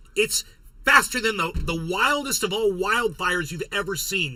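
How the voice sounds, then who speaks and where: A man speaks in a raised, projected voice at a high pitch. His tone is bright and sharp, and his pace is moderate. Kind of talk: political commentary livestream. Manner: casual, rambling.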